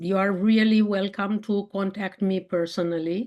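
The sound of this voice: The speaker has a Romanian accent and a fairly even intonation. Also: woman.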